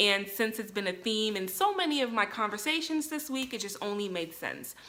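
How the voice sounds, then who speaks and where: A woman talks in a normal speaking voice. Her pitch varies in an ordinary way. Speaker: vlogger. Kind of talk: casual vlog monologue. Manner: many filler ums.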